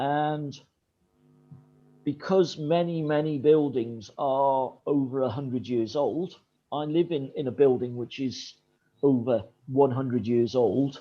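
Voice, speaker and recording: At a very slow pace, a man speaks at a fairly high pitch, with long, frequent pauses. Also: ordinary pitch variation. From northeast England, Sunderland. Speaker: English teacher giving feedback. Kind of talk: feedback on student presentations, video call. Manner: hesitant, many fillers.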